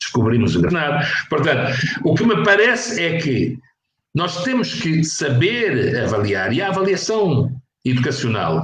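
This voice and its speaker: Very wide pitch swings in a fairly high male voice. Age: 60s. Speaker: professor. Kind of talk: interview. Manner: halting.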